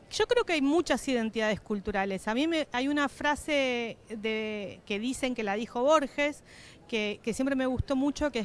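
A woman speaks at a moderate pace with a fairly high pitch and ordinary pitch variation, her voice dry with no echo. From Patagonia, Argentina; Argentina. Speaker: political scientist and professor; interviewee. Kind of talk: interview. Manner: halting, frequent fillers and repetitions. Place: hall. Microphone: handheld.

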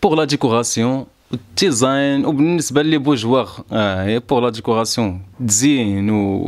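Lively intonation marks this man's speech at a moderate pace against a quiet background. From Morocco, Marrakech; Morocco. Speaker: rapper; news interviewee. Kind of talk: statement to camera. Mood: earnest, defensive explanation. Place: home room. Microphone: handheld.

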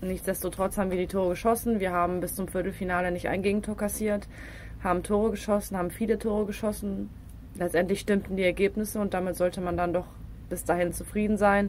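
A woman's medium-pitched voice with vocal fry, a very fast pace and flat, monotone intonation. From Rhineland, Düren (western Germany). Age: 20s. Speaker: professional football player. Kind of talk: casual interview.

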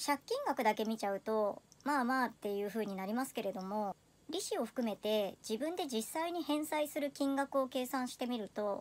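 A woman talks with a high pitch and lively intonation. Her pace is moderate. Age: 30s. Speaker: personal finance vlogger. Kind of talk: personal video monologue. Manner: polite. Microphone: phone near.

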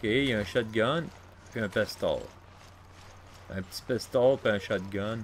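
A man at a very slow pace, with ordinary pitch variation, long and frequent pauses, and light background noise. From Quebec. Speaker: gaming youtuber; gaming YouTuber. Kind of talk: let's play commentary; casual gameplay commentary. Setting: home recording with console near mic. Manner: casual, hesitant with many fillers.

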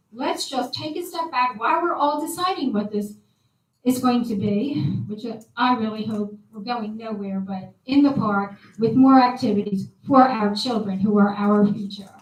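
At a moderate pace, a woman talks in an ordinary speaking voice with fairly high pitch. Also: lively intonation, big swings in loudness. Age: 60s. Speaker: resident speaking at public comment. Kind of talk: public comment at township meeting.

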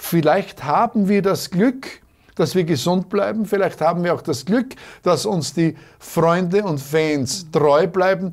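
Against a quiet background, a man with a high pitch speaks at a fairly slow pace with ordinary pitch variation. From Austria, southeastern Styria. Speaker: schlager bandleader; guest. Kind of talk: interview. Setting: studio. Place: studio.

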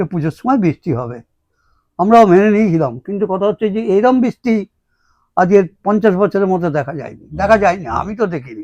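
Lively intonation marks this man's high voice, recorded with a dry, close sound and no echo. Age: 80s+. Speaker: spiritual guru. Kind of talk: spiritual address.

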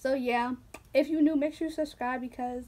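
A woman speaks at a high pitch with ordinary pitch variation. Her pace is fairly quick. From Philadelphia, US. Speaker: YouTuber. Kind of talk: casual vlog chat. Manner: animated. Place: home room. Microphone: phone near.

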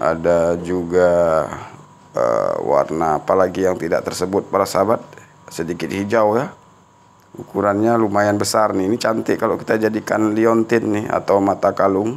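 A man speaks in a plain, everyday voice at a moderate pace. His pitch is fairly low, with fairly even intonation. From Aceh, Indonesia. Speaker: gemstone hunter YouTuber; gemstone reviewer. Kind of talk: casual video review. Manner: chatty, with frequent fillers. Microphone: phone near.

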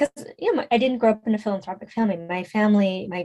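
In an ordinary speaking voice, a woman with an American accent talks at a fairly quick pace with ordinary pitch variation. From US West Coast, San Francisco. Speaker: fundraising coach and consultant. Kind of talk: interview conversation.

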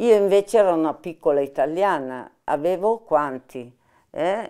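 At a very slow pace, a woman speaks with lively intonation in a dark, mellow tone. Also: quiet background. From Milan, northern Italy. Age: 80s+. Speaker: former partisan, war witness; witness. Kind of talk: oral history interview. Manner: halting, with hesitations. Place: home room.

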